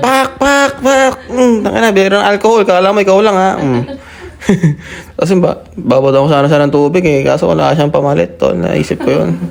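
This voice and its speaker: Over noticeable background noise, a man keeps a very even loudness at a fairly quick pace. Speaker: vlogger. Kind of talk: vlog voiceover narration. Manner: casual.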